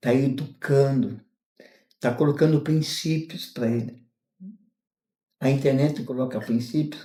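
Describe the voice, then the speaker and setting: A somewhat breathy man at medium pitch, with ordinary pitch variation and a fairly slow pace. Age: 60s. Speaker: retired mail carrier. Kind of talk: interview. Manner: halting.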